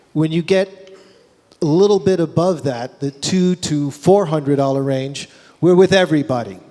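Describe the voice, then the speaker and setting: Speaking at a fairly slow pace, a man with a fairly high pitch uses lively intonation over noticeable background noise. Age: 60s. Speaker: music retail executive. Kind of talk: Q&A talk at trade show. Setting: trade show stage with audience.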